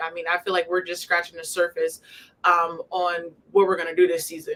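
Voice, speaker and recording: Very fast and monotone, a woman speaks with flat intonation. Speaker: college basketball player. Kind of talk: casual interview chat. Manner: loud.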